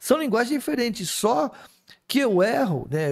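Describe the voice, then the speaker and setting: Very wide pitch swings against a quiet background. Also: man. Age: 60s. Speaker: spiritist speaker; speaker. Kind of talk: casual chat. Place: studio. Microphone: studio mic.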